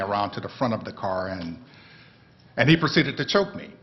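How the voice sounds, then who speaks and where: A man speaks with a north Florida accent. His pace is very fast. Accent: Southern US (north Florida). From US South. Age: 60s. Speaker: panelist, brother of wrongfully accused man. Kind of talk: testimony.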